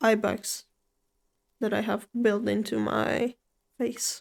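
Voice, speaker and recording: A woman talks at a fairly slow pace in a relaxed tone. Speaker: streamer. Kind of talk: gaming livestream commentary. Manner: relaxed, low-energy.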